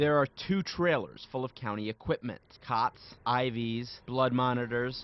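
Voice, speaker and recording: A man with a plain, everyday voice, at a fairly slow pace with ordinary pitch variation. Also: medium pitch for a man. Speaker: TV news reporter. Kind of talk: TV news reporter package and stand-up.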